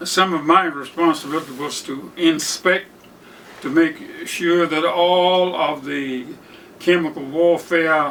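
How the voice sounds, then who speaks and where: A man with an American accent, high pitch, fairly even intonation and a very slow pace. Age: 90s. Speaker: World War II veteran. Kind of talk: interview answer.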